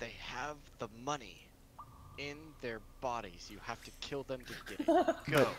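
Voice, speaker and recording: Against clear background noise, a man uses a put-on character voice of medium pitch, with long, frequent pauses. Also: moderate pace. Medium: actual play. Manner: panicky, whiny.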